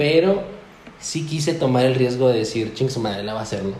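A man's medium-pitched voice is heard amid audible room echo and noticeable background noise. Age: 20s. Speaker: café owner. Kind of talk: casual chat.

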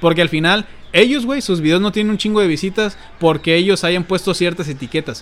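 The pace is fairly quick, with a Mexican accent. Pitch variation is ordinary. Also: man. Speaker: youtuber and podcast co-host. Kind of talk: casual chat. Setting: home, sitting on a bed at a computer.

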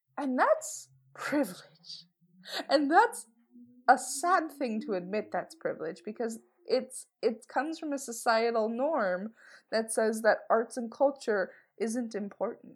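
A woman speaks fairly slowly in a high voice with lively intonation and an American accent. The recording is very clean, with a silent background. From Washington, D.C. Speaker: podcast co-host discussing museums. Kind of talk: casual chat. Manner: animated.

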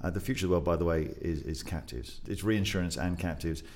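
A very deep, low-pitched man's voice with vocal fry and an English accent. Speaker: podcast guest co-host.

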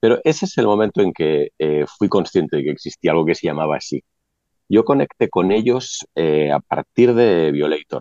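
A man speaks at a moderate pace in a very deep, low voice with lively intonation. The sound is dry and close, with no echo. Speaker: band leader, musician. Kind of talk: panel discussion.

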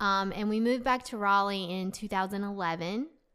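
In a very clean recording with a silent background, a woman with a slight Southern US accent speaks in a bright, sharp tone. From US South, North Carolina. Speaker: founder of a women's social club. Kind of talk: casual interview chat. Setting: studio.

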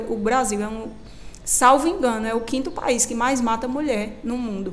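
At a moderate pace and a high pitch, a woman speaks with ordinary pitch variation, with audible room echo and noticeable background noise. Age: 20s. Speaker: lawyer. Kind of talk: radio interview.

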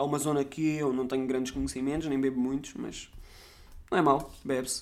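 In a European Portuguese accent, a man with a fairly high pitch speaks very fast. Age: 20s. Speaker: podcast host. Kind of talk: casual monologue.

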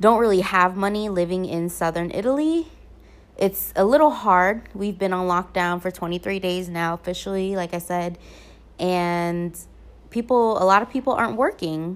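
Using ordinary pitch variation, a woman with an American accent talks at a medium pitch and a fairly slow pace. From US South, Virginia (Norfolk). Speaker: podcaster and blogger. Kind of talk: casual monologue. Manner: casual, filler-heavy with laughter.

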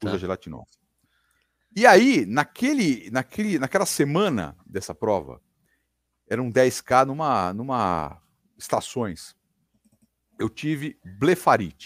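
A man talks very slowly at a medium pitch, with long, frequent pauses, vocal fry and very wide pitch swings. The sound is dry and close with no echo, on a very clean recording with a silent background. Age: 50s. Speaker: radio broadcaster. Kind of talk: casual chat.

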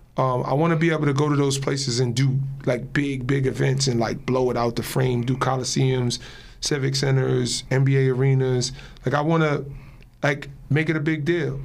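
A man with an American accent speaks in a medium pitch at a moderate pace, his intonation flat and monotone, with audible room echo. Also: very even loudness. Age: 40s. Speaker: show basketball player and media host. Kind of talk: casual interview.

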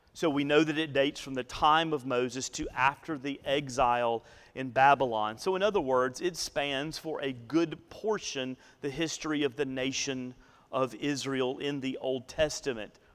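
A man with a Southern US accent speaks at a fairly slow pace. His voice is fairly high, with ordinary pitch variation. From northeast Alabama, US South. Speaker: pastor. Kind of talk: sermon.

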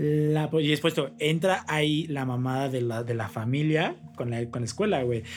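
With a Mexican accent, a man speaks at a moderate pace and fairly high pitch, showing ordinary pitch variation and hardly any pauses. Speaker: podcast co-host. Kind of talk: casual chat.

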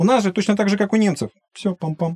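A man talks at a fairly quick pace in a dark, mellow tone, the sound dry and close with no echo. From Ukraine, Luhansk. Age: 40s. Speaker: game designer, former economics lecturer. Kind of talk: podcast interview.

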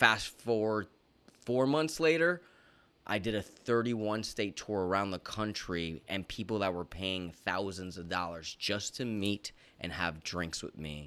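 Animated and bright, sharp in tone, the speaker has an American accent and lively intonation. The pace is fairly slow, on a very clean recording with a silent background. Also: man, fairly low pitch for a man. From Florida. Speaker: fitness coach and TV personality. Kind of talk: casual interview chat.

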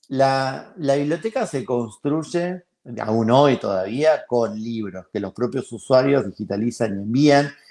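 Against a quiet background, a man speaks at a very slow pace. His tone is dark and mellow, with lively intonation. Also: medium pitch for a man. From Argentina. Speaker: founder of a library for blind people. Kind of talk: interview.

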